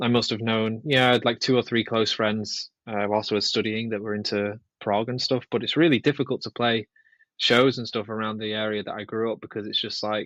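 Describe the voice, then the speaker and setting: A man speaks at a fairly quick pace and medium pitch with monotone, flat intonation, the sound dry and close with no echo against a quiet background. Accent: northern English. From northwest England. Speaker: guitarist and composer. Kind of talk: podcast interview. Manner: casual, hesitant with fillers.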